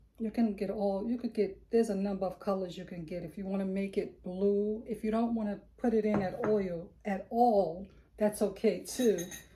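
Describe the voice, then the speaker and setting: The speech runs at a moderate pace with hardly any pauses and fairly even intonation. Noticeable background noise sits behind it. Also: woman, medium pitch for a woman. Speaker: soap-making lifestyle vlogger. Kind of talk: tutorial. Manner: casual.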